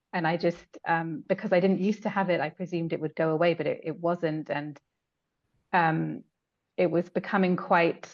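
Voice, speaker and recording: A woman with an English accent, fairly low in pitch, with fairly even intonation and a moderate pace. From England. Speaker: hypnotherapy client. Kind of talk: testimony. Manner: halting, many fillers.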